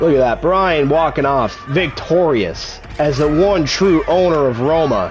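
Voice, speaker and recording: Heard through audible room echo and noticeable background noise, a man with a fairly high pitch speaks at a fairly slow pace with hardly any pauses, very even loudness and ordinary pitch variation. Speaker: gaming streamer. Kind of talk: mock fight commentary over video game. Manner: animated.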